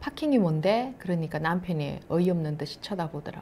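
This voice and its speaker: Over light background noise, a woman speaks fairly quickly in a fairly low, somewhat breathy voice. Her tone is dark and mellow, and her pitch varies in an ordinary way. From South Korea, Masan; South Korea. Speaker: missionary's wife; speaker. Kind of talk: testimony. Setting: online church meeting. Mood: calm, warm. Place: studio. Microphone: lapel.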